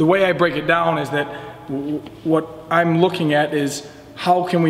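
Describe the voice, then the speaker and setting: A man's voice, monotone with flat intonation. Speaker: weightlifting coach. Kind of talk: interview answer. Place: gym.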